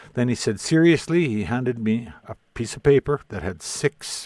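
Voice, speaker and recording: A man with a Canadian prairie accent, recorded dry and close with no echo. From southern Saskatchewan, Canada. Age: 60s. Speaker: Métis elder and historian. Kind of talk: interview conversation.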